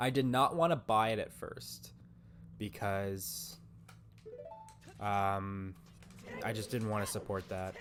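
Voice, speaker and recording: Against music in the background, a man talks with lively intonation. He leaves long, frequent pauses. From Canada. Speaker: gaming streamer. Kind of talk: live stream chat. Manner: casual, filler-heavy.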